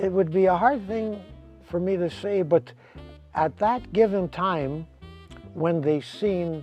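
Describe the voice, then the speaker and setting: Over music in the background, a man speaks at a high pitch and a very slow pace, with ordinary pitch variation. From Winnipeg, Canada. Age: 70s. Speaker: retired motorcycle racer. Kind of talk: interview answer.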